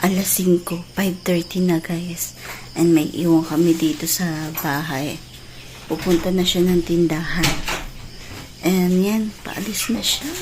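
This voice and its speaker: Soft-spoken and fairly low-pitched, a woman talks at a fairly slow pace with fairly even intonation over noticeable background noise. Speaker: vlogger. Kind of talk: casual vlog. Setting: at home.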